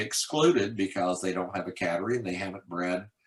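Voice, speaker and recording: A man talks at a fairly quick pace. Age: 60s. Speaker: cat association president. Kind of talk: interview. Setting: video call. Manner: halting.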